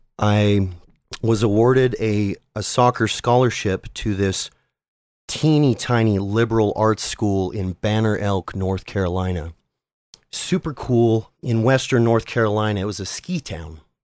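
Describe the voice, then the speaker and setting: In a plain, everyday voice with an American accent, a man speaks fairly low and fairly slowly with ordinary pitch variation on a very clean recording with a silent background. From Utah, US (South Jordan). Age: 30s. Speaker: podcaster. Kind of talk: casual interview.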